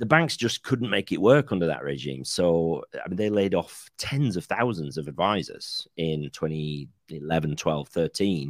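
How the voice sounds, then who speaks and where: Barely pausing, a man with a very deep, low pitch speaks with lively intonation. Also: moderate pace. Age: 40s. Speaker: financial planner. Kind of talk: casual chat. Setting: video call.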